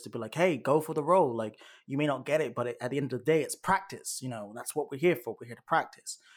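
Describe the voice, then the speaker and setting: The recording is very clean, with a silent background. A man speaks with a British accent. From United Kingdom. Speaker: actor. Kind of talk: casual interview.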